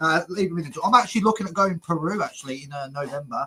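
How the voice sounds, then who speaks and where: A man's high-pitched voice, bright and sharp, at a very fast pace. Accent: Brummie. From English Midlands, Birmingham. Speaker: travel vlogger, interviewer. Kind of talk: casual interview chat.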